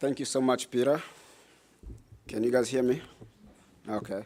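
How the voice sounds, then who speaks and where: A man speaks with a strong Congolese accent at a moderate pace, his pitch medium and his tone dark and mellow. Long pauses come often. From Democratic Republic of the Congo. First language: French. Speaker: nonprofit director, former refugee. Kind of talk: public talk. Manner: halting, broken English.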